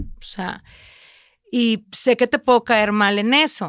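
Recorded very cleanly over a silent background, with a dry, close sound and no echo, a woman speaks very slowly at a fairly high pitch. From Mexico, Reynosa (Tamaulipas border). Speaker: food content creator and cookbook publisher. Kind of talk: casual chat.

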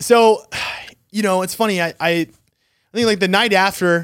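Heard on a very clean recording with a silent background, a man speaks at a high pitch with ordinary variation and long, frequent pauses. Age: late 20s. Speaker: podcast co-host. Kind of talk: casual chat. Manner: animated.

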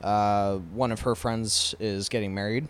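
A man's fairly low voice with fairly even intonation, on a very clean recording against a silent background. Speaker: podcast co-host. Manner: casual, joking, profane.

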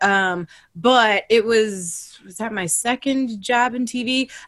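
Here a woman speaks with an American accent. Her voice is high-pitched for a woman, with ordinary pitch variation. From US Midwest (Ohio). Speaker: entertainment TV correspondent. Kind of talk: casual chat.

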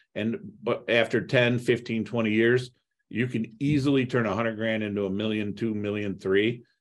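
Over a quiet background, a man with an American accent speaks at a moderate pace. His pitch is medium and his intonation is monotone and flat. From US Midwest (Toledo, Ohio). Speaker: real estate investor. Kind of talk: podcast interview.

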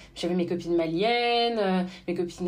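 Audible room echo hangs around this woman's voice. Her pitch is medium, with ordinary pitch variation. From France, Beninese parents. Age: 30s. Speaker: social media influencer. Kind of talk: interview testimony.

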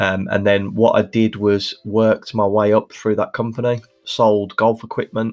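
A man with a Birmingham accent talks at a moderate pace in a fairly low pitch. His intonation is monotone and flat. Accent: Birmingham (Brummie), noticeable. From Birmingham, England. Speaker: podcast host, social media manager for mortgage brokers. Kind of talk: solo podcast monologue, conversational. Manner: conversational, uses fillers like um.

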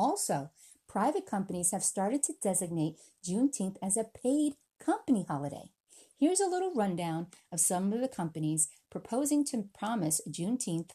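A woman speaks at medium pitch in a dark, mellow tone that is somewhat breathy. Her pitch swings very widely. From US, born in the Philippines, raised in America. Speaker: podcast host. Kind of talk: solo podcast monologue.

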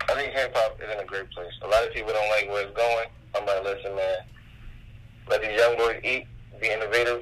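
Noticeable background noise runs behind a man who talks at a fairly quick pace with long, frequent pauses. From New Jersey. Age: 20s. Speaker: rapper. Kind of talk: casual chat.

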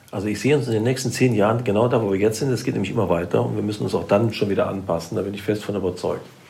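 Very fast and fairly low in pitch, a man speaks with audible room echo and noticeable background noise. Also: ordinary pitch variation, hardly any pauses. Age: 60s. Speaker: public transport executive. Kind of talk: interview. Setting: on site at the transport company.

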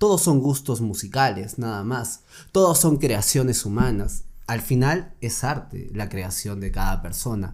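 At a fairly slow pace, a man with a medium pitch and lively intonation speaks in a plain, everyday voice. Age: 20s. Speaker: lawyer. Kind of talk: casual chat.

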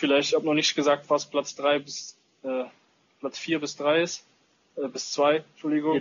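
Speaking at a moderate pace, a man with a fairly high pitch keeps a flat, monotone intonation and leaves long, frequent pauses. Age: 20s. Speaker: paintball player and social media influencer. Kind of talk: casual chat.

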